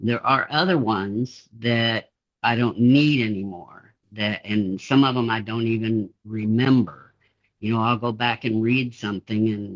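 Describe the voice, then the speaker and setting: A man with a plain, everyday voice at a medium pitch, a fairly slow pace and fairly even intonation. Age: 60s. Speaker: interviewee with dissociative identity disorder. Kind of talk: interview.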